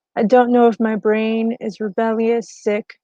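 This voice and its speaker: Fairly slow and monotone, a woman with a fairly high pitch and a dark, mellow tone speaks with flat intonation and a dry, close sound with no echo. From western North Carolina mountains. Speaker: poet. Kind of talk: poetry reading. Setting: online live stream.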